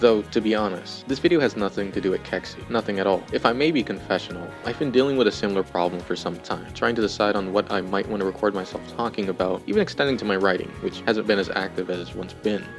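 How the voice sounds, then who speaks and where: Over music in the background, a man with a fairly low pitch talks at a very fast pace with hardly any pauses. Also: ordinary pitch variation. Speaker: video essayist. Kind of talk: video essay narration.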